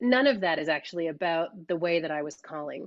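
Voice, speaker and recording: A woman with an American accent and a fairly low pitch talks at a moderate pace with lively intonation. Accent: sounds American. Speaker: dance caller and workshop teacher. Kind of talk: online workshop discussion. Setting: video call. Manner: casual, many fillers.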